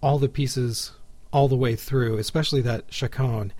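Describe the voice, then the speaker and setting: A somewhat breathy man talks at a medium pitch with fairly even intonation. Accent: American. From Texas, Houston. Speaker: podcast host and classical guitarist. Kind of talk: casual interview; scripted show narration.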